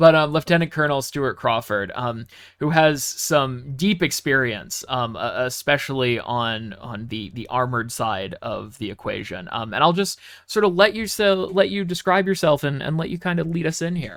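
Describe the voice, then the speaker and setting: A man with an American accent speaks at a moderate pace with hardly any pauses. His fairly high pitch moves in very wide swings. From United States. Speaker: podcast host. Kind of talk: podcast interview. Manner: hesitant, many fillers.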